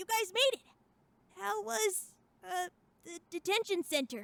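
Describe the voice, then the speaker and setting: A female-sounding put-on character voice, extremely high in pitch with very wide pitch swings, moves at a moderate pace. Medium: audio drama. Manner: casual, slangy, energetic.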